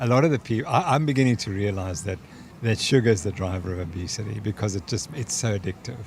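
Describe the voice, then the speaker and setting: This man's voice sits fairly low and is somewhat breathy. He talks very fast with lively intonation. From South Africa. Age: 70s. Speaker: sports scientist. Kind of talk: interview.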